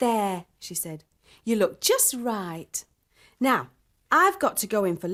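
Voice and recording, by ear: Over a quiet background, a passage is read aloud in a natural voice.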